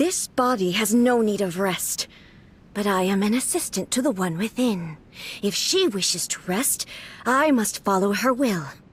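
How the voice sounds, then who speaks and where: A female-sounding, put-on character voice speaks at a medium pitch and moderate pace. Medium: video game. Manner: cold, clipped, formal.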